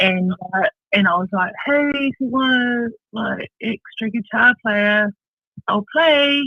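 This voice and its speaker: A very slow pace in a New Zealand accent. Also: woman, fairly high pitch for a woman, ordinary pitch variation. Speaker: bass player. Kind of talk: radio interview.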